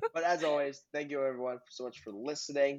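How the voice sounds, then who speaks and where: This man uses a normal speaking voice with medium pitch. He talks at a fairly quick pace. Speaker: podcast co-host. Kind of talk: casual interview chat.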